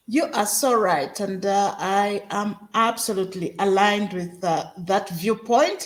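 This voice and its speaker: At a fairly slow pace with hardly any pauses, a woman speaks at a medium pitch with ordinary pitch variation over noticeable background noise. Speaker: podcast host. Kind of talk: podcast interview host.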